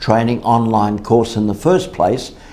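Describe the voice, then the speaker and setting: In an Australian accent, a man talks at an average speed with a mid-range pitch. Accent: thick Australian. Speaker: sales trainer. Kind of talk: sales training talk.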